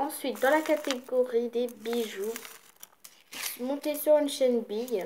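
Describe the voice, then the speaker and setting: Noticeable background noise surrounds a woman's high-pitched voice. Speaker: craft video creator. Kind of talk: craft showcase video.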